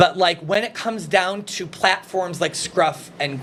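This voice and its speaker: A high-pitched male voice with a slight Minnesota accent, amid noticeable background noise. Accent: picking up a slight Minnesota. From Illinois, Chicago area. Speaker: recovering addict sharing his story. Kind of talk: casual chat. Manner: halting, many fillers.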